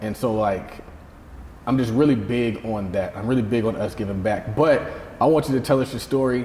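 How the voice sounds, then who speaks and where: Over noticeable background noise, a man with an American accent speaks at medium pitch and a moderate pace. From US South. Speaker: podcast host. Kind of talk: interview conversation.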